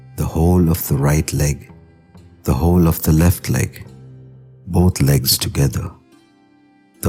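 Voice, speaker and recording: Over music in the background, a man with a very deep, low pitch talks at a fairly slow pace in a calm, soothing tone with ordinary pitch variation. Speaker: guided meditation narrator. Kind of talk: yoga nidra guided meditation. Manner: slow, calm, soothing.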